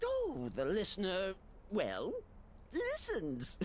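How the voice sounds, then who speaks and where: Someone uses a put-on character voice at a very slow pace, with clear background noise behind it. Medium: video game. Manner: manic, sing-song, theatrical.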